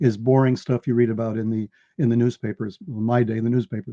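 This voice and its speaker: A man with an American accent, a medium pitch and a dark, mellow tone. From New York. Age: 70s. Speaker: author and researcher. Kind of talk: interview. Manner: repetitive, stammering starts.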